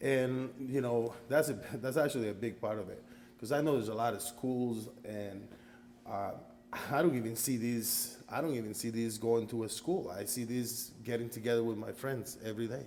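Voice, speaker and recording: The speaker talks at a moderate pace with fairly even intonation, and audible room echo can be heard. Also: man, medium pitch for a man. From Costa Rica. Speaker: karate student. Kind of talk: interview.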